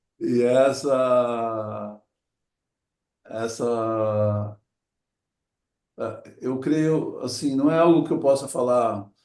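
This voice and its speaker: A man at a medium pitch, speaking at a very slow pace with long, frequent pauses. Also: ordinary pitch variation. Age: 60s. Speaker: adventurer and motivational speaker. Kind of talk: talk to an audience. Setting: talk before a group. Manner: reflective, with hesitations.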